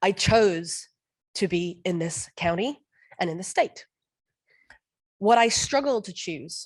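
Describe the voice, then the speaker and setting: Fairly slow speech in a non-native accent, with lively intonation, big swings in loudness and long, frequent pauses. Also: woman. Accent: foreign. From outside the US. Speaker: parent giving public comment. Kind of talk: public comment speech. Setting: board meeting room.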